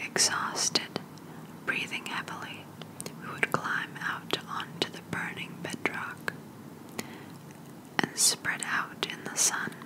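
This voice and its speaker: Someone whispers at a very slow pace with long, frequent pauses against noticeable background noise. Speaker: ASMR creator. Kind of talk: bedtime story reading. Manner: soft-spoken, whispered.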